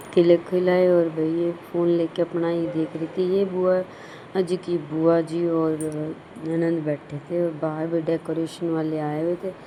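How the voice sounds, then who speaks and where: Amid noticeable background noise, a woman speaks fairly slowly in a fairly low, monotone voice with flat intonation. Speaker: family vlogger. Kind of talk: vlog narration.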